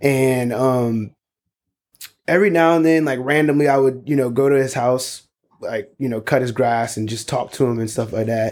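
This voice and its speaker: A man with an American accent uses a normal speaking voice at medium pitch, a moderate pace and ordinary pitch variation. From US South, South Carolina (North Charleston). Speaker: podcast co-host, father. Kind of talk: casual chat.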